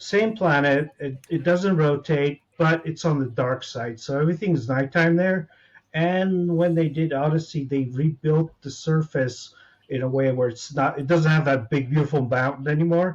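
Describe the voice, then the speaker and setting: Moderate pace and ordinary pitch variation in a somewhat breathy voice. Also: man, fairly high pitch for a man. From United States. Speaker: gamer guest. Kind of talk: casual chat.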